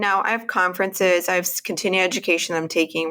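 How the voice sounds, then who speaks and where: A woman with a Texan accent and a fairly low pitch. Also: very clean recording, silent background. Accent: Texan American. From Texas, Houston area. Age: 40s. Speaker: women's health practitioner. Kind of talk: interview.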